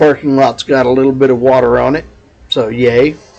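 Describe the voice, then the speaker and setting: Here a man with a Texas accent speaks in a fairly high voice. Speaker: vlogger. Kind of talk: casual vlog monologue. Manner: loud.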